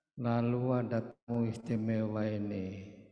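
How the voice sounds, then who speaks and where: A man speaks at a very slow pace in a flat, monotone delivery. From Banyumas, Central Java, Indonesia. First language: Banyumas Javanese (speaking Indonesian). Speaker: writer and magazine editor. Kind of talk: cultural oration.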